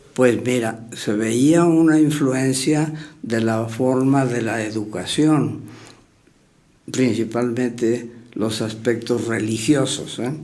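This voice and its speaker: A man's very slow, fairly even delivery at medium pitch, dark and mellow in tone, with audible room echo. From Mexico, Querétaro. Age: 90s. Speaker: retired surgeon. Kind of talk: interview reminiscence. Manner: halting, many fillers.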